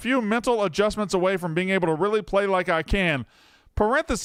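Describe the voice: What we hear is plain reading aloud.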